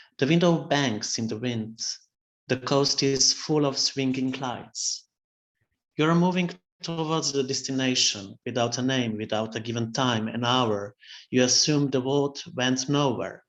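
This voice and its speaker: Someone with a Slovene accent speaks at a fairly slow pace. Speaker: poet. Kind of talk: poetry reading.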